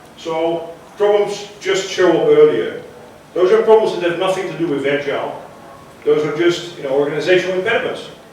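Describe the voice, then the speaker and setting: With noticeable background noise and audible room echo, a man speaks at a high pitch with ordinary pitch variation, big swings in loudness and long, frequent pauses. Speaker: conference speaker on agile transformation. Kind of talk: conference talk. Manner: fast.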